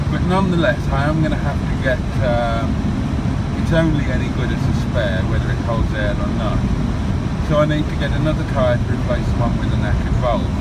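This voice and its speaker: The speech moves at a fairly quick pace. Loud background noise fills the recording. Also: man. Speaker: driver vlogger. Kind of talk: casual vlog chat. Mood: wry, chatty. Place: car. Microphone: phone near.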